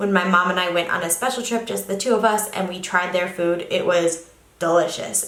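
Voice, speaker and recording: The woman's voice carries audible room echo. Noticeable background noise runs beneath it. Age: 20s. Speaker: travel vlogger. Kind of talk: casual vlog talk.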